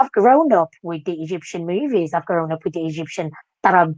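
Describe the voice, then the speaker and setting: A woman with a Moroccan accent talks fairly quickly in a dry, close sound with no echo. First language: Moroccan Arabic. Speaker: dance teacher. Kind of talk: interview. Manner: animated.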